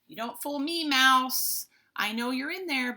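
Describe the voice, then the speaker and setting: In a put-on character voice, a woman projects a raised, high-pitched voice at a fairly slow pace. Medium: read story. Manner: gruff, emphatic.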